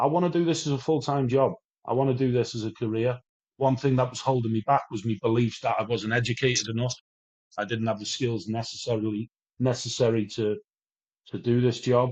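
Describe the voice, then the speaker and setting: Someone with a Welsh accent talks at a fairly quick pace. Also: man, medium pitch for a man, ordinary pitch variation. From Wales, near English border. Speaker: addiction recovery speaker. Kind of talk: interview. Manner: animated.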